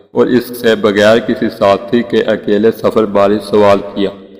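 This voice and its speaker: In a fairly low voice, a man speaks with a monotone, flat intonation. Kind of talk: emotional Islamic story narration.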